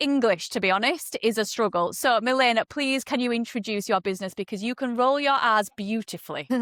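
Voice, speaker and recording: In a very clean recording with a silent background and a dry, close sound without echo, a woman speaks with a Yorkshire accent at a high pitch in a bright, sharp tone. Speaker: podcast host. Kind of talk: podcast interview.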